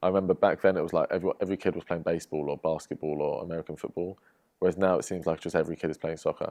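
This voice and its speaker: A man speaks in a very deep, low voice. The sound is dry and close, without echo. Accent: English. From England, London. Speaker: professional footballer. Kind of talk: podcast interview. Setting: studio.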